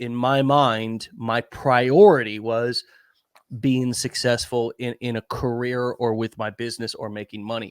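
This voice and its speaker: A man with an ordinary speaking voice talks at a fairly slow pace, the sound dry and close with no echo. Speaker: online marketing show host. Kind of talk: casual conversational talk.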